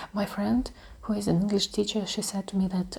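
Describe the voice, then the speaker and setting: A woman speaks in a Russian accent at a medium pitch, her tone dark and mellow. Her delivery is monotone and flat, and somewhat breathy. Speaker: ASMR creator. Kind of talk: ASMR talk. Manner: soft-spoken; halting.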